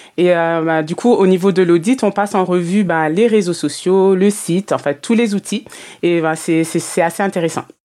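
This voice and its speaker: Dark, mellow female voice at a medium pitch and moderate pace, with fairly even intonation on a very clean recording with a silent background. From Martinique. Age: 30s. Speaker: customer journey consultant, business mentor. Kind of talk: interview. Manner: hesitant, many fillers.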